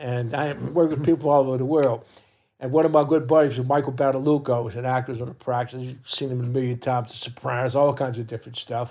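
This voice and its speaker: A man with a New Orleans accent, fairly high in pitch, at a very fast pace with ordinary pitch variation. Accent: New Orleans Yat dialect. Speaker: parade group co-captain. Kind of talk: casual chat.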